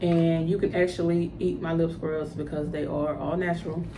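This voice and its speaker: Over noticeable background noise, a woman with an American accent talks at a moderate pace in a fairly low pitch with fairly even intonation. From US South, Louisiana (Ruston); Louisiana. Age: 30s. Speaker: cosmetics entrepreneur. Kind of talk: tutorial. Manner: casual, hesitant with fillers. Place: home room. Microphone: phone near.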